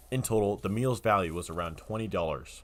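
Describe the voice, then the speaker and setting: A man's ordinary speaking voice, fairly low in pitch, with lively intonation at a fairly quick pace. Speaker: student reporter. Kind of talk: news feature package. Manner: casual, upbeat.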